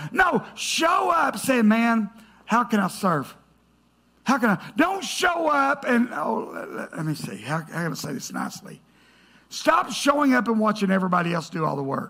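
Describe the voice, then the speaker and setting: A man projects a raised voice at a high pitch, moving at a moderate pace. His pitch swings very widely. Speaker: pastor. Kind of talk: sermon. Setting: church. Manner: loud; animated.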